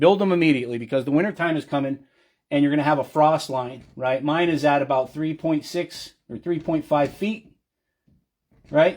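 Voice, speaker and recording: With ordinary pitch variation, a man talks at a moderate pace on a very clean recording with a silent background. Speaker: conspiracy livestreamer. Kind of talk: casual livestream tutorial. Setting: live video stream. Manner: animated.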